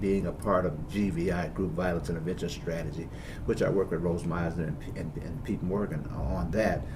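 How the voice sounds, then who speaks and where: Audible room echo surrounds a man who speaks at a fairly quick pace in a very deep, low pitch. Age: 60s. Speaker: bishop. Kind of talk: interview.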